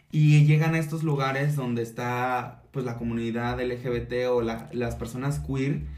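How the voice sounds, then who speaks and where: With an ordinary speaking voice, a man talks at a medium pitch and a fairly slow pace. His pitch varies in an ordinary way, and he hardly pauses. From Mexico, Acapulco, Guerrero. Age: 30s. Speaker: drag queen and performer. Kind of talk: casual interview.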